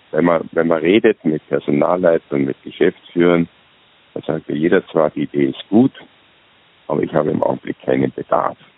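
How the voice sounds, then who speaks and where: With noticeable background noise behind him, a man with a very deep, low pitch speaks at a moderate pace, showing ordinary pitch variation and long, frequent pauses. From Austria. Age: 60s. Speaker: retired executive turned self-employed consultant. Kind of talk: interview. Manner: halting.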